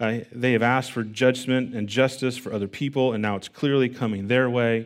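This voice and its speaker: In a plain, everyday voice, a man speaks at medium pitch and a moderate pace on a very clean recording with a silent background. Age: 40s. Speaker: pastor. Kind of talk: sermon.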